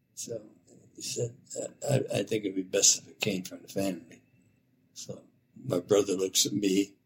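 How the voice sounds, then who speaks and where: In an American accent, a man speaks at a moderate pace with a fairly low, somewhat breathy voice and fairly even intonation. His loudness swings widely, and he takes long, frequent pauses. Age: old. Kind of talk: interview conversation. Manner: halting.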